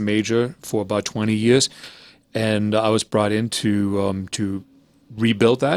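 A man's medium-pitched voice with a slight German accent. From Germany, then Canada from age twelve. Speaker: jazz pianist and music professor. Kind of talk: interview. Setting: video call. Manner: halting, many fillers.

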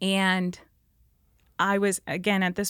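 In a very clean recording with a silent background, a woman with an Upper Midwest accent speaks at medium pitch. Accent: Upper Midwest (Minnesota). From northern Minnesota, rural. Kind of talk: faith testimony in casual interview.

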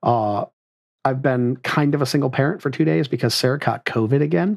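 With vocal fry and ordinary pitch variation, a man speaks at medium pitch and a fairly quick pace.

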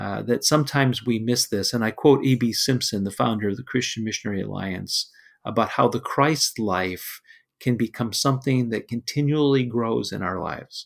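An unremarkable speaking voice from a man at a medium pitch, with ordinary pitch variation and a moderate pace, on a very clean recording with a silent background. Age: 60s. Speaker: pastor. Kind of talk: devotional teaching.

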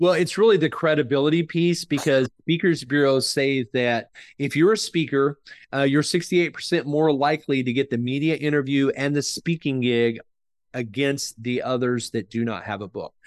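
This man has an unremarkable speaking voice with an American accent, fairly high in pitch with ordinary pitch variation, at a moderate pace in a dry, close sound with no echo and a quiet background. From Oklahoma, US. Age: 50s. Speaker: author and book publisher. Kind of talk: interview.

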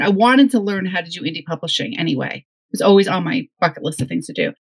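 A woman talks at a fairly quick pace with an American accent and lively intonation. Her voice is medium in pitch and somewhat breathy. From northwest New Jersey. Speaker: novelist. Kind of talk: casual interview chat.

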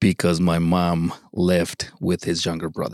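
A man speaks with a Mexican accent. His pitch is very deep and low. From Mexico. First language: Spanish. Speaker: father. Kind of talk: testimony.

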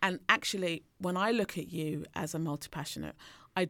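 On a very clean recording with a silent background, a normal speaking voice moves at a moderate pace with fairly even intonation. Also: woman. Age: 40s. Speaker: leadership coach and podcast co-host. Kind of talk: casual chat.

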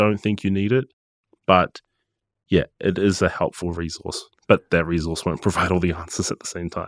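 A man with a New Zealand accent at a moderate pace, the sound dry and close with no echo. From New Zealand, Gisborne. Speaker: music producer and studio manager. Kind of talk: casual interview.

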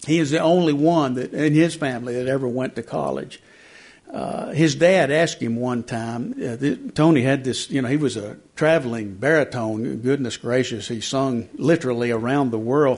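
With an East Tennessee accent, a man speaks at a moderate pace in a medium pitch with ordinary pitch variation. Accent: East Tennessee Southern. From East Tennessee, rural South Knox County. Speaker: newspaper columnist and author. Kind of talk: book talk to a lunchtime audience. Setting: library talk with live audience.

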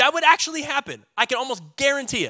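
Raising and projecting his voice, a man sounds animated, with a bright, sharp tone, lively intonation and extremely high pitch. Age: 30s. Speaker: pastor. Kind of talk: sermon. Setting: church.

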